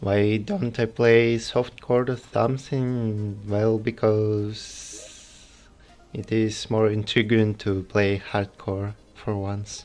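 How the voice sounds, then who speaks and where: A man's very slow, monotone, flat delivery in a fairly low pitch, with a strong Russian accent. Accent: heavy Russian. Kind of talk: game livestream commentary. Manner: quiet, calm.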